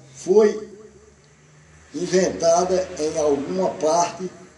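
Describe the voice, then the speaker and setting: A man with a high-pitched voice and ordinary pitch variation speaks over noticeable background noise. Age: 50s. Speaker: radio host. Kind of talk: reading aloud; casual chat.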